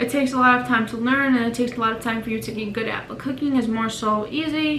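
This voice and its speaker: A woman's high-pitched voice at a fairly quick pace, ordinary pitch variation, with noticeable background noise and audible room echo. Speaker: vlogger. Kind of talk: casual vlog introduction. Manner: fast.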